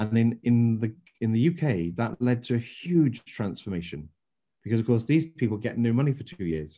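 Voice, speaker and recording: A man with an English accent talks at a moderate pace, his medium-pitched voice carrying lively intonation. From England. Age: 60s. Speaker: former business council chairman. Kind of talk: interview.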